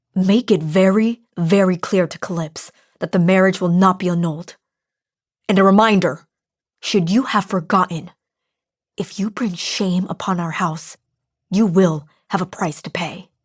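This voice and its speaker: A woman puts on a menacing character voice at a medium pitch, hissing her words with fairly even intonation at a moderate pace. Long, frequent pauses break up the speech on a very clean recording with a silent background. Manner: hissing through gritted teeth, menacing.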